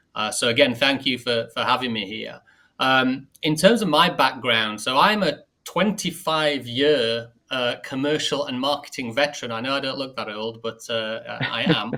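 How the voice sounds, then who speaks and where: With a northern English accent, a man speaks at a medium pitch in a bright, sharp tone with ordinary pitch variation. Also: moderate pace. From northern England. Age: 40s. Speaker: marketing executive. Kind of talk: podcast interview.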